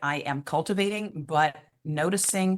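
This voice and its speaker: A woman with a fairly low pitch speaks in an unremarkable speaking voice. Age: 60s. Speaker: wellbeing coach. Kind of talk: interview answer.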